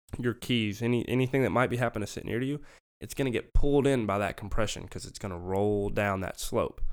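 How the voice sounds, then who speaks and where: Here a man with a Southern US accent speaks at a medium pitch. He moves at a fairly quick pace with ordinary pitch variation. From US South, Memphis and central Arkansas. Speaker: physics graduate and Marine veteran. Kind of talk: casual chat.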